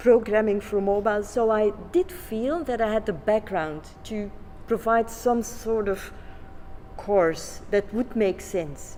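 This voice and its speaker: A woman with a non-native accent speaks at a very slow pace and a fairly high pitch, with lively intonation. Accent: non-native English speaker. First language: Flemish. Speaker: education researcher. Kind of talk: conference presentation. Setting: conference. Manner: halting, with many fillers.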